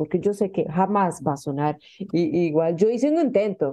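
This woman has a fairly low pitch with very wide pitch swings. Her tone is warm and enthusiastic. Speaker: radio host. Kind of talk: interview chat. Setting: radio studio. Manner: warm, enthusiastic, effusive.

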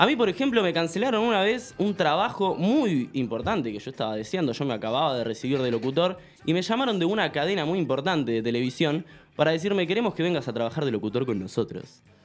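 Speaking at a very fast pace, a man uses a fairly high pitch. His voice makes very wide pitch swings. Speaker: podcast host. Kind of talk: casual chat.

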